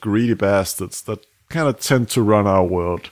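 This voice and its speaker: With a Danish accent, a man talks at a moderate pace with ordinary pitch variation in a very clean recording with a silent background. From Denmark. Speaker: podcast host. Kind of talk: scripted narration; casual chat.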